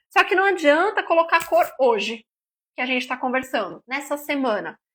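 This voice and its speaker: Her voice is raised and projected, with a bright, sharp tone. The woman keeps a moderate pace and lively intonation. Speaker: nutritionist. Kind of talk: live stream talk. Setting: live stream.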